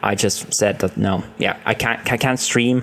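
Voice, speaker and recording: A man with a non-native accent talks at a moderate pace. His pitch is medium, with ordinary variation. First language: not English. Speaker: gaming streamer and video creator. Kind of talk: casual monologue to camera. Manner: halting, with fillers.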